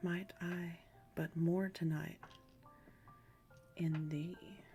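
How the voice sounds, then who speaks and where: Soft-spoken and at a very slow pace, the voice comes over music in the background. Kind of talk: ASMR poetry reading. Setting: lo-fi background music.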